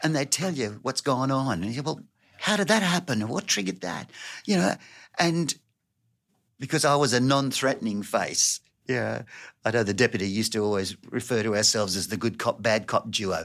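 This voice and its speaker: With an Australian accent, a man talks with lively intonation. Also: medium pitch for a man, fairly quick pace, very clean recording, silent background. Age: 70s. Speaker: youth worker and volunteer. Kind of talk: interview conversation.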